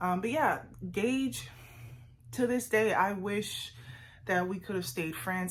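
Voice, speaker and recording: There is audible room echo around this woman, whose pitch varies in an ordinary way. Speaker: vlogger. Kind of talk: casual sit-down vlog monologue.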